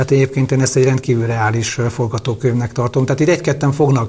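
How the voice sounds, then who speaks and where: Speaking in a monotone, flat intonation, a man holds a medium pitch. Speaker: lawyer and parliamentary candidate. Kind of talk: interview. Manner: halting.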